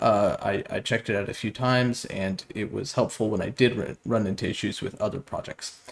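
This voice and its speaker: A man talks at a fairly quick pace with vocal fry. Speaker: game development tutorial youtuber. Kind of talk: tutorial. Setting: new studio apartment with echo. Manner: many filler words and hesitations. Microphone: low mic quality, echo in new room.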